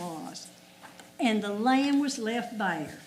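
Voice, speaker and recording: A woman with a Southern US accent speaks very slowly in a fairly high voice over noticeable background noise. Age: 80s+. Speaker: local resident speaking at public hearing. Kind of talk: public comment at hearing.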